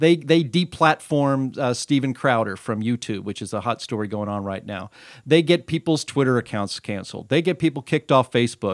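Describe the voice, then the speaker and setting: With a plain, everyday voice at medium pitch, a man talks at a fairly quick pace with lively intonation and hardly any pauses. The recording is very clean with a silent background, and the sound is dry and close with no echo. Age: 40s. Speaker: podcast host. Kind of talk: interview. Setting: studio.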